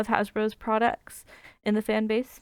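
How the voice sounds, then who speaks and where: A woman at a fairly quick pace, in a very clean recording with a silent background. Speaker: student. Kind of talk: class presentation. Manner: fast; hesitant, many fillers.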